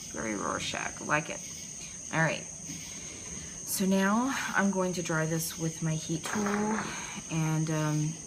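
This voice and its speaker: Speaking very slowly with long, frequent pauses, a woman with an American accent and a fairly low pitch uses ordinary pitch variation, amid noticeable background noise and audible room echo. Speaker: art journaling tutorial host. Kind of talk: tutorial. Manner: casual, chatty with fillers.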